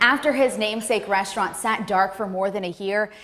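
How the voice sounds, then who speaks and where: Noticeable background noise is present. A woman is talking. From New Orleans, Louisiana. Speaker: news anchor and reporter. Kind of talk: news reporting.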